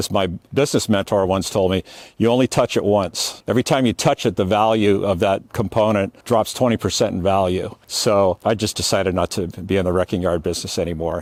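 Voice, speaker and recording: A man with an American accent talks at a fairly quick pace in an unremarkable speaking voice, his pitch fairly low with ordinary variation. The sound is dry and close, with no echo. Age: 60s. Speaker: salvage yard veteran. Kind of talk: casual tutorial. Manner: casual, with fillers.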